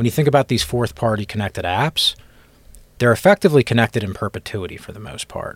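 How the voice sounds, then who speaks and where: With an American accent, a man talks at a very fast pace in a medium pitch, his intonation lively and his voice somewhat breathy, with big swings in loudness on a very clean recording with a silent background and a dry, close sound with no echo. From Philadelphia, US East Coast. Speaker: cybersecurity executive guest. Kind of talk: casual interview chat.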